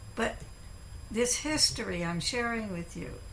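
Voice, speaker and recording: A woman with an American accent speaks at a fairly slow pace. The recording has audible room echo and noticeable background noise. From California. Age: 80s+. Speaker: professor. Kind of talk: lecture.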